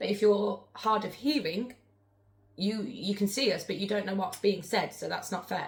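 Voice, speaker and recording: Somewhat breathy, the voice moves with ordinary pitch variation. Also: woman, medium pitch for a woman. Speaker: spirit board medium, live streamer. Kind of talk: live stream chat. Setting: live stream. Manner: fast.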